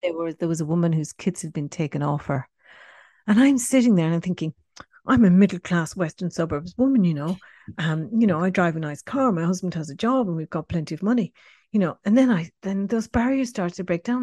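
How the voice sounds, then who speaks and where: A woman's fairly low, dark, mellow and somewhat breathy voice with lively intonation and a fairly quick pace, dry and close with no echo, over a quiet background. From Ireland, Cork. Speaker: writer and trainee counsellor. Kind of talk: interview, personal testimony. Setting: remote call from Australia. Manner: hesitant, many fillers.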